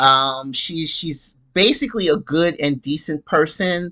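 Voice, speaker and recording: The speech is very slow. Music plays in the background. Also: woman. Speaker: soap opera recap youtuber. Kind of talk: casual monologue recap. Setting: home bedroom. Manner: loud; animated.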